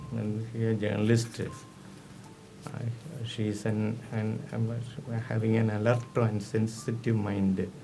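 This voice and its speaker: A man with a Keralan accent speaks very slowly in a monotone, flat intonation with long, frequent pauses, over audible room echo and noticeable background noise. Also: medium pitch for a man. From India, Kerala. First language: Malayalam. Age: 60s. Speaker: poet. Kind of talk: spoken introduction to poems. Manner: halting, many fillers.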